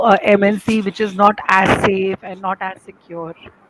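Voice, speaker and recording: Medium pitch from a woman, with noticeable background noise behind her. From India, Delhi. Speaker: English teacher. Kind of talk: English practice conversation.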